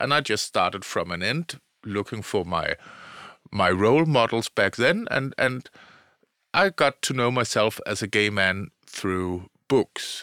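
A man with a Danish accent, medium in pitch, bright and sharp in tone, with lively intonation at a fairly slow pace, in a dry, close, echo-free and very clean recording over a silent background. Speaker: podcast host. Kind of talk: interview. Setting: studio.

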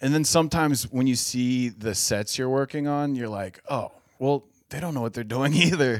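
With a normal speaking voice, a man speaks at a moderate pace and medium pitch, with ordinary pitch variation, in a very clean recording with a silent background. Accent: American. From Cincinnati, Ohio. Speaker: stand-up comedian. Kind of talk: casual chat.

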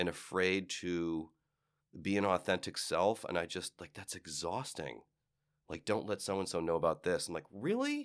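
A man's very deep, low pitch in an American accent, with ordinary pitch variation and a very clean recording on a silent background. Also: moderate pace. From Cleveland, Ohio. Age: 50s. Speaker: actor and style commentator. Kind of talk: interview. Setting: studio.

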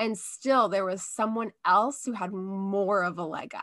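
A woman speaks in an ordinary speaking voice, fairly high in pitch, with ordinary pitch variation. The background is quiet. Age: 30s. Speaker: podcast guest, comedy writer. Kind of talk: casual chat.

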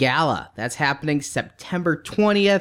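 A man with a high pitch talks at a moderate pace, his pitch variation ordinary. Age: 30s. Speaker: podcast co-host. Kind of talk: casual chat.

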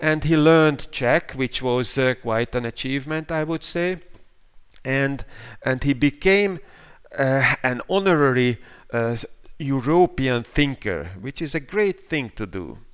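In a very clean recording with a silent background, a man with a Hungarian accent speaks at a fairly slow pace with a fairly high pitch and lively intonation. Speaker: professor of political science and philosophy. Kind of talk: interview. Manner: halting. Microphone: questionable connection.

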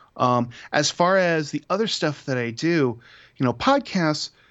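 With an Ohio accent, a man speaks at a fairly high pitch and moderate pace. His intonation is lively. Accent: Midwestern American (Ohio). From Toledo, Ohio. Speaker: father and podcaster. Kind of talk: casual chat.

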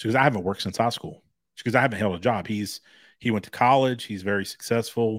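At a very fast pace, a man of medium pitch talks with fairly even intonation in a very clean recording with a silent background. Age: 40s. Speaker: podcast co-host. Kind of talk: casual chat. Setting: home studio.

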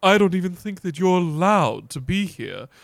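Putting on a character voice, a man speaks at a moderate pace with a high pitch, big pitch swings and vocal fry.

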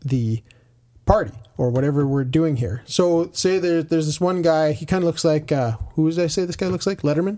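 A man with a plain, everyday voice, a fairly high pitch and ordinary pitch variation. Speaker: board game podcaster. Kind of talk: casual chat with co-host.

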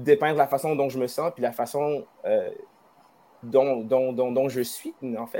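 A man's dark, mellow tone at medium pitch and a moderate pace. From Wendake, Quebec. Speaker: musician. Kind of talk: interview. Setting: live stream.

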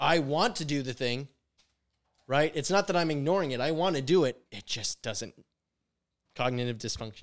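In a very clean recording with a silent background, a man with a fairly high pitch and lively intonation talks at a moderate pace, leaving long, frequent pauses. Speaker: podcast co-host. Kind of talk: casual banter.

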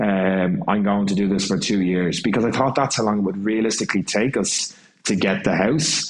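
A man with an Irish accent speaks at a fairly low pitch and a moderate pace. Noticeable background noise and audible room echo are present. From Ireland. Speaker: jazz and swing singer. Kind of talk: casual chat.

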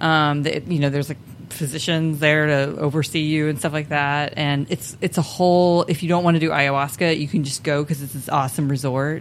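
A woman's very deep, low voice at a fairly quick pace, flat and monotone, with hardly any pauses and music in the background. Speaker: former podcast regular. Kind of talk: casual chat.

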